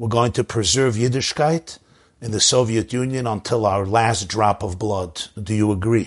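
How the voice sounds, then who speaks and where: Against a quiet background, a man with an American accent talks with ordinary pitch variation. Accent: New York Hasidic-inflected American English. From US Northeast, Brooklyn, New York. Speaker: rabbi and public speaker. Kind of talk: interview storytelling.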